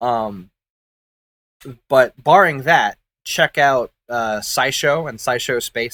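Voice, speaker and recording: A man's bright, sharp, medium-pitched voice with ordinary pitch variation, dry and close with no echo, on a very clean recording with a silent background. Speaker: gaming streamer. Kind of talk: casual gameplay commentary. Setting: live stream. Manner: frequent filler ums.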